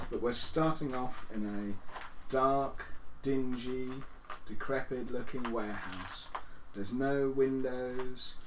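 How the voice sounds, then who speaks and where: Noticeable background noise accompanies speech delivered at a very slow pace. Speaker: game master. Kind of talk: tabletop roleplay session. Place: home room.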